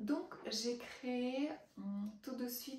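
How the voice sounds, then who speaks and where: A woman speaks with noticeable background noise. Audible room echo surrounds her voice. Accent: Russian. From Russia. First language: Russian (speaking French). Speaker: writing coach. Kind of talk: promotional testimony. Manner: hesitant, many fillers.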